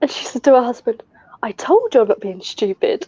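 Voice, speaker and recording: A woman with a southern English accent at a high pitch and moderate pace, with very wide pitch swings, in a dry, close sound with no echo. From southern England. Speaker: retail worker, mother. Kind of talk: casual chat.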